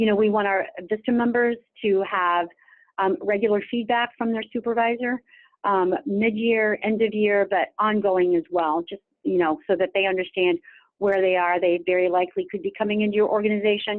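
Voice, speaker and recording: A woman talks at a medium pitch. Her pitch variation is ordinary. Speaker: state office director for national service program. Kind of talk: webinar presentation. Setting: webinar. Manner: fast.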